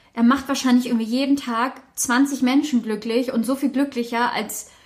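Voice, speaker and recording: Her high-pitched voice moves at a fairly quick pace as this woman talks. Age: 20s. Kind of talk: casual chat.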